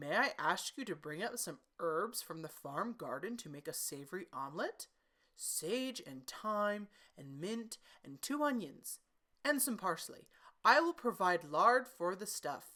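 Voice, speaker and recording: Using a put-on character voice, a woman speaks at medium pitch and a fairly slow pace. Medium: read story. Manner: elaborately polite, ingratiating.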